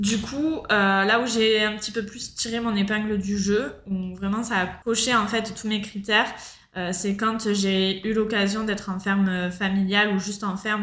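Fairly even intonation and a fairly slow pace come through with audible room echo. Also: woman. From France, Marseille. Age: 30s. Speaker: backpacker, former fruit picker. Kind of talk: casual interview.

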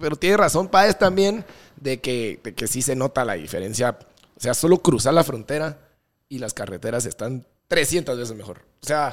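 Big swings in loudness and very wide pitch swings mark this man's speech at a moderate pace. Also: medium pitch for a man. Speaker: DJ and podcast co-host. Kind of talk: casual chat.

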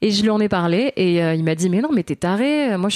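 Recorded dry and close with no echo, a woman speaks at a medium pitch in a dark, mellow tone. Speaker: mother and stage performer. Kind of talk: casual interview.

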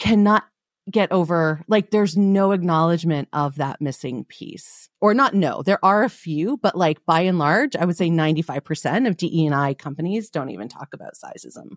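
A woman with an unremarkable speaking voice and fairly low pitch speaks at a moderate pace with lively intonation, hardly any pauses and big swings in loudness. The recording is very clean, dry and close, with a silent background and no echo. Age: 40s. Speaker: body image coach and podcaster. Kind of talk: casual chat.

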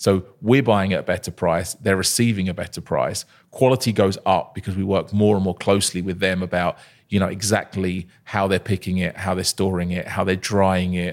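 This man has a very deep, low pitch and fairly even intonation at a moderate pace. The recording is very clean, with a silent background. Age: 30s. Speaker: company founder and CEO. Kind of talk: interview. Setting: studio.

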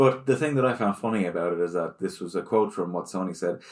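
Recorded very cleanly against a silent background, a man with an ordinary speaking voice talks at a fairly low pitch with lively intonation. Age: 30s. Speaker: video game podcast co-host. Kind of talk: casual chat.

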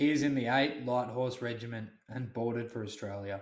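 This is a normal speaking voice with fairly even intonation. It keeps a moderate pace. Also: man. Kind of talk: diary audiobook reading. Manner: formal, even, measured; dated entries read in a flat, list-like cadence.

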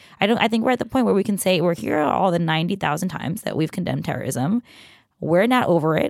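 A woman with an American accent speaks with vocal fry and lively intonation. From Queens, New York. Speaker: tech reporter. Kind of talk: casual chat.

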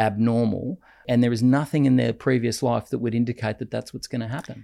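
With an Australian accent, a man at a medium pitch speaks at a fairly quick pace in a dark, mellow tone with vocal fry, in a very clean recording with a silent background. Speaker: podcast co-host, lawyer. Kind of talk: casual debate. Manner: halting, repeats words.

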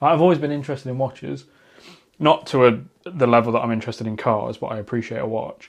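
A man's very fast speech at medium pitch, with vocal fry and ordinary pitch variation against a quiet background. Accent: British. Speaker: podcast host. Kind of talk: casual chat. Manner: loud.

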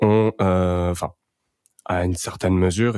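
The recording is very clean, with a silent background and a dry, close sound with no echo. The speaker talks at a moderate pace with fairly even intonation. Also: man. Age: 20s. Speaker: podcast host and young entrepreneur. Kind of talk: casual chat.

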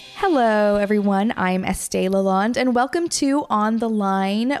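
Using a plain, everyday voice, a woman speaks at a fairly slow pace with lively intonation. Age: 20s. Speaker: podcast host. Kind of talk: casual chat; scripted intro.

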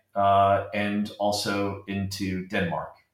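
Audible room echo colors this voice. It belongs to a man. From US Southwest, Arizona. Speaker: infrastructure fund manager. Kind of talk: interview. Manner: hesitant, many fillers.

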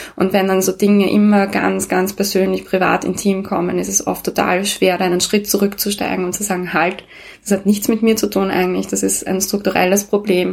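At a fairly quick pace, a woman with a medium pitch speaks in a monotone, flat intonation. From Austria, Vienna. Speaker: co-founder of a women's network. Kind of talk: interview.

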